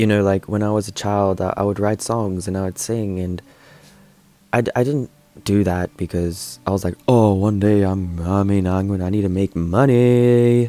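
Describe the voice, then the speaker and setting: Music plays behind a man speaking at a moderate pace. His fairly low voice carries fairly even intonation. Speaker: singer-songwriter. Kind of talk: interview answers. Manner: casual, hesitant with repetitions.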